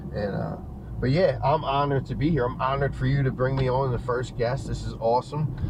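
Over noticeable background noise and audible room echo, a man with an American accent speaks at a fairly quick pace. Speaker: guest. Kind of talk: casual chat. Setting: video call.

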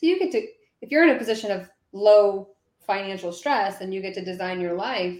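A woman speaks at a moderate pace and medium pitch, with ordinary pitch variation. She has a plain, everyday voice. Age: 30s. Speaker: career coach podcast co-host. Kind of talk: live-streamed podcast chat.

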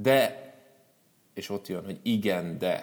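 A man with a fairly low pitch talks at a very slow pace. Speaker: motivational speaker. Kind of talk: live talk to audience. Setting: stage with audience. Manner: spontaneous, unscripted.

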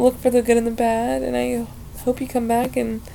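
A woman speaks with an American accent over noticeable background noise. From Ohio. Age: young. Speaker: podcast host. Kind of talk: casual solo monologue. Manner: rambling with fillers; animated.

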